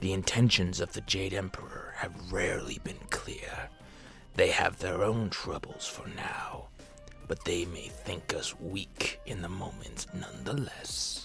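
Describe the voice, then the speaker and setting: A man whispering in a put-on character voice, with clear music in the background. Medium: read story. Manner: grave, commanding.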